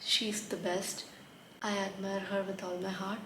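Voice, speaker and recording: The speaker has a non-native accent and a fairly slow pace, recorded with audible room echo and noticeable background noise. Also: woman. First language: not English. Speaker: book reviewer. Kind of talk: casual book review vlog.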